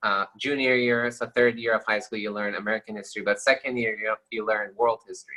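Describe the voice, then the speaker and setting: With a Persian accent, a man speaks at a very fast pace in a bright, sharp tone. His medium-pitched voice is monotone, with flat intonation. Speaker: lawyer. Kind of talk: interview.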